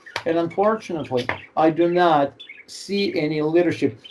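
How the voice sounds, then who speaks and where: A man talks at a fairly slow pace with a fairly high pitch. Noticeable background noise runs under him. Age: 60s. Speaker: political commentator. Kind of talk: casual chat. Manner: halting.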